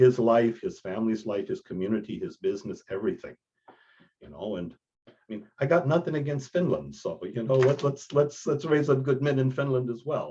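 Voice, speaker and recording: Here is a man with an American accent and a medium pitch, speaking at a fairly quick pace. His tone is dark and mellow, somewhat breathy, with lively intonation. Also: big swings in loudness. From Texas. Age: 60s. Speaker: priest and men's mentor. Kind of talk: podcast interview.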